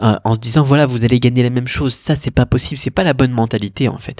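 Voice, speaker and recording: A man talking at a very fast pace, the sound dry and close with no echo. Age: 30s. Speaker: e-commerce podcaster. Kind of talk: solo podcast monologue. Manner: casual, hesitant with many fillers.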